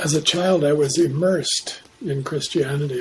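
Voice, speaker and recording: Over noticeable background noise, a man talks at a moderate pace. His pitch is fairly high and his intonation fairly even. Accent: Canadian. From Canada, Saskatchewan. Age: 70s. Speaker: Jungian analyst. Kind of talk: interview.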